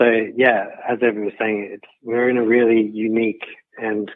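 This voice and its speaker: A man with an Australian accent, fairly low in pitch, in a monotone, flat delivery. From Australia, Sydney. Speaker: guidebook co-author and photographer. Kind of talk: interview. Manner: halting, repeats words.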